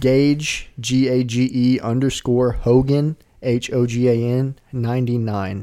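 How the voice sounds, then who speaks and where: A man's dark, mellow voice with a Southern US accent, monotone and flat, with hardly any pauses. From Arkansas. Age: 20s. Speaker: podcast co-host. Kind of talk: casual chat.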